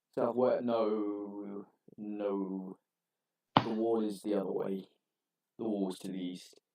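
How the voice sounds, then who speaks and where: A man's put-on character voice, fairly low in pitch, at a fairly slow pace with long, frequent pauses. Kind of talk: in-character table roleplay. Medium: actual play. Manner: blunt, casual, swears.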